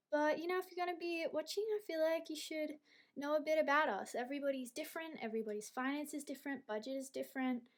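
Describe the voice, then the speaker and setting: Very fast speech from a woman with an Australian accent, a high pitch and ordinary pitch variation. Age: 20s. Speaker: budgeting vlogger. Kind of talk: casual vlog talk to camera.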